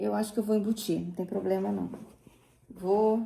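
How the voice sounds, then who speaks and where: With a dark, mellow tone, a woman talks at a moderate pace. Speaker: sewing crafts youtuber. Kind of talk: tutorial. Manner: casual, chatty; speaking quietly.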